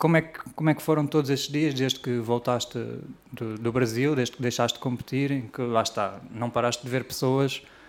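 At a fairly quick pace, a man talks in an ordinary speaking voice of medium pitch with fairly even intonation. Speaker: podcast host. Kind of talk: podcast interview.

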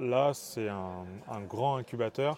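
A very slow, medium-pitched man with ordinary pitch variation, amid noticeable background noise. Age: 20s. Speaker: engineering student and startup co-founder. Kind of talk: casual interview. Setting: startup incubator.

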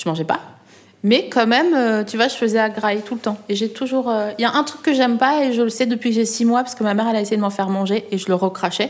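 A very fast-talking woman with a fairly high pitch. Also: ordinary pitch variation. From eastern France, Alsace. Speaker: journalist and comedian. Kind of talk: casual chat. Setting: restaurant. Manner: animated.

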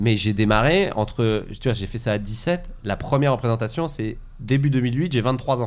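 A man talks at a moderate pace at a medium pitch with ordinary pitch variation. He has an unremarkable speaking voice. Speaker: comedian. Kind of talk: casual chat.

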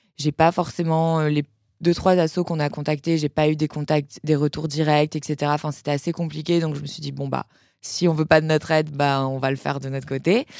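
A woman's very deep, low pitch, monotone and flat, at a fairly quick pace, in a dry, close sound with no echo on a very clean recording with a silent background. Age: 20s. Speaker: entrepreneur, cosmetics brand founder. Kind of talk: casual interview. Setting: studio.

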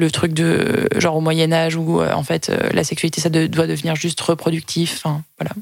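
A woman's voice sits fairly low in pitch, and her intonation stays monotone and flat. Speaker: podcast co-host. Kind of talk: casual chat.

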